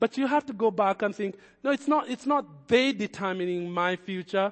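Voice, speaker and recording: A man with a non-native accent speaks at a high pitch. His intonation is lively. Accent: foreign-accented English. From another country, moved as adult. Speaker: pastor. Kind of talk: sermon. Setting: church. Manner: hesitant, repeats words.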